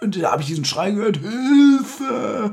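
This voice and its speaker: In a put-on character voice, a man speaks high at a moderate pace with very wide pitch swings. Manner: crying out, shouting.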